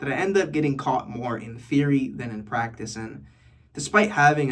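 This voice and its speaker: A man speaks with an American accent, and audible room echo can be heard. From New York City. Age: 20s. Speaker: vlogger. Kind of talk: casual vlog monologue. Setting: bathroom. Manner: casual, conversational.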